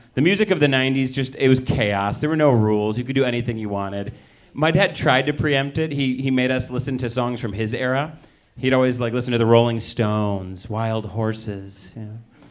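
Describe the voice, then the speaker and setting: Speaking at a fairly quick pace with an American accent, a man with a medium-pitched voice is heard amid audible room echo. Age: 30s. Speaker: stand-up comedian. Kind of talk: stand-up. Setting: stage with audience.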